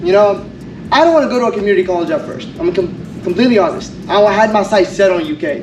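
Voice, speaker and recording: A man speaks at a very fast pace with a high pitch and lively intonation. The room echo is audible and the background noise is noticeable. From Kurdistan, Iraq; raised in Kentucky from age seven. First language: Kurdish. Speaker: college honors graduate. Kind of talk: graduation speech. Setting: stage with audience.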